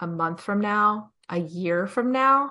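In an American accent, a woman speaks with a bright, sharp tone at a medium pitch and ordinary pitch variation, over a quiet background. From New Jersey. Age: 30s. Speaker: podcast host and author. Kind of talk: casual interview storytelling. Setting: video call.

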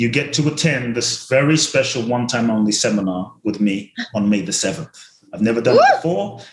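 Over noticeable background noise, a man talks at a fairly quick pace, his medium pitch rising and falling in an ordinary way. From South London. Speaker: motivational speaker and author. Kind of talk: casual interview chat. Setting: video call.

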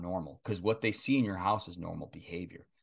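Over a quiet background, a man with an ordinary speaking voice talks at a moderate pace with ordinary pitch variation. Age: 40s. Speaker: podcast host and pastor. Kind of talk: interview.

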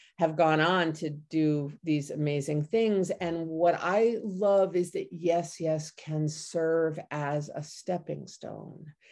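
An ordinary speaking voice with ordinary pitch variation comes through against a quiet background. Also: woman. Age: 50s. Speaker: poet, editor and publisher. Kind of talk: casual interview.

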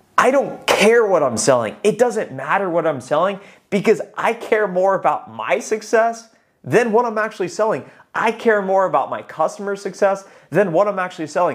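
Loud and energetic, a man speaks at a high pitch and moderate pace with lively intonation. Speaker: sales coach and YouTuber. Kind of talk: monologue video advice. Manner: loud, energetic.

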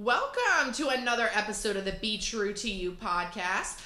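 Noticeable background noise sits behind a woman who raises and projects her voice. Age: 20s. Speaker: podcast host. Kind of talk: casual chat. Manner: animated.

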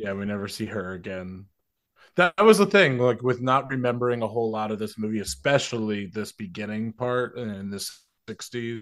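A man with an unremarkable speaking voice, medium in pitch, with ordinary pitch variation at a moderate pace. His loudness swings widely in a very clean recording with a silent background. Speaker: guest film discussant. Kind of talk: casual chat.

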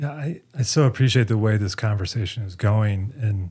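Dark and mellow in tone, a man's fairly low voice sounds somewhat breathy. He talks at a fairly quick pace. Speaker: podcast host. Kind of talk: scripted narration and interview.

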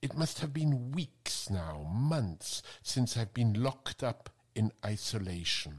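At a very slow pace, a man speaks at a medium pitch, somewhat breathy. His pitch swings very widely. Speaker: podcast host reading a quotation. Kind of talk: literary audiobook reading of a short story excerpt.

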